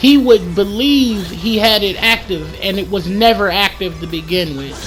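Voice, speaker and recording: With music in the background and audible room echo, a woman talks at a moderate pace and medium pitch. Her tone is animated, with ordinary pitch variation. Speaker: gaming YouTuber. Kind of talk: gameplay commentary. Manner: stuttering, repeats words.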